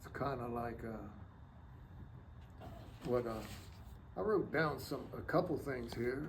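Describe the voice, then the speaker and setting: In an American accent, a man speaks very slowly at a medium pitch, with audible room echo. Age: 70s. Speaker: war veteran. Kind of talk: interview. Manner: halting.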